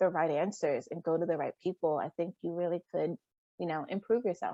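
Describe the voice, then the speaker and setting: A woman talks at a fairly quick pace with an American accent. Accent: American with Liberian accent slipping in. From Rhode Island, US, Liberian community. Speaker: teacher. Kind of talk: interview. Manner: hesitant fillers.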